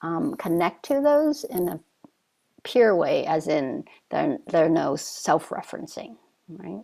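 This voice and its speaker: A woman talks at a fairly slow pace, her pitch moving in very wide swings. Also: medium pitch for a woman. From Vietnam. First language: Vietnamese. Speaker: Zen teacher. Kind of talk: dharma talk. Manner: halting.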